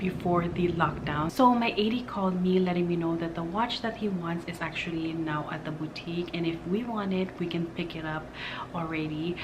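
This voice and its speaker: A woman with a fairly low pitch and ordinary pitch variation speaks quietly, with audible room echo and noticeable background noise. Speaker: beauty and lifestyle vlogger. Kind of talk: casual vlog talk to camera. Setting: at home, partner in bedroom. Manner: hushed, quiet.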